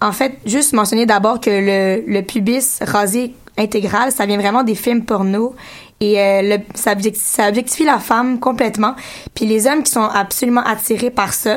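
This woman has an unremarkable speaking voice, fairly high in pitch, at a moderate pace. Her intonation is fairly even and her loudness very even. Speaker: radio columnist. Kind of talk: radio segment on community station.

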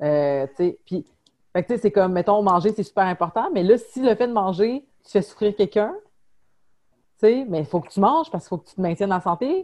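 Lively intonation and a dark, mellow tone carry a fairly quick pace. Loudness swings widely, and long pauses come often. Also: woman, medium pitch for a woman. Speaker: podcast host. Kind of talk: casual chat. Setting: video call. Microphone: unstable internet connection, lag.

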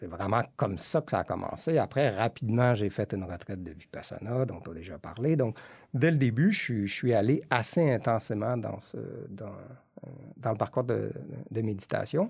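A somewhat breathy man at a medium pitch and moderate pace, with lively intonation and big swings in loudness, in a very clean recording with a silent background. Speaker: meditation and yoga teacher. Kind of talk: casual chat. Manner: halting.

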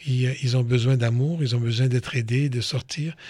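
This man talks at medium pitch in a somewhat breathy voice, with fairly even intonation and a fairly slow pace. The recording is very clean, with a silent background. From Côte d'Ivoire, of Lebanese parents. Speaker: police chief. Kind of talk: interview for children.

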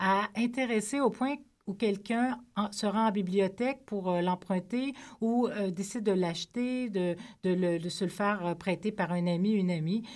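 On a very clean recording with a silent background, a woman uses a normal speaking voice at a medium pitch, with ordinary pitch variation and a fairly slow pace. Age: 40s. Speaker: novelist. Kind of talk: radio interview. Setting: studio.

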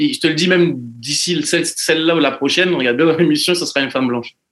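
With ordinary pitch variation, a man with a fairly high pitch speaks at a very fast pace. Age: 30s. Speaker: podcast guest. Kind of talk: casual chat.

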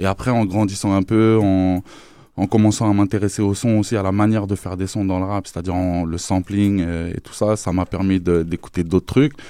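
With a plain, everyday voice, a man speaks at a moderate pace, his fairly low pitch held to fairly even intonation. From France. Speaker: rapper. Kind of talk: interview. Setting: studio.

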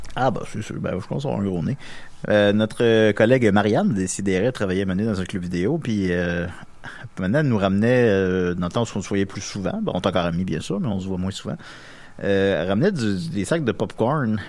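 A man talks at a fairly quick pace in a normal speaking voice. His pitch is fairly low, with ordinary pitch variation. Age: 30s. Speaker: podcast co-host. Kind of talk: casual chat. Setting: studio.

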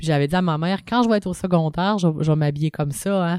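A woman talks in a fairly low voice with a dark, mellow tone and fairly even intonation. The sound is dry and close, with no echo. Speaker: punk rock singer and drummer. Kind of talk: casual interview.

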